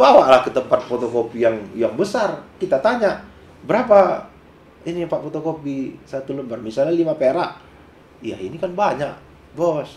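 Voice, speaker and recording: Animated in tone, a man with a fairly high pitch speaks at a moderate pace with very wide pitch swings. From Malay region of Sumatra, Indonesia. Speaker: businessman. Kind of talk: interview.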